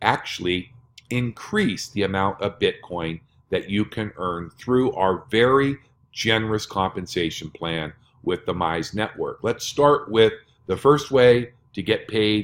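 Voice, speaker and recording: A man's fairly low, a normal speaking voice, with lively intonation at a fairly slow pace on a very clean recording with a silent background. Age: 60s. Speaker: network marketing presenter. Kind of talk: sales pitch.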